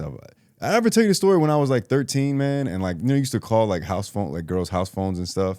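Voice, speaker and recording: Speaking at a very fast pace, a man uses very wide pitch swings and a dark, mellow tone. The recording is very clean and the background silent. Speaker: podcast co-host. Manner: mellow, laid back.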